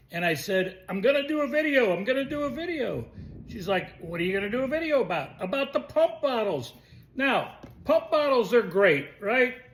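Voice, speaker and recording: Extremely high in pitch, a man's voice moves at a moderate pace with very wide pitch swings. Background noise is noticeable. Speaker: video blogger. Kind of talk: casual vlog rant.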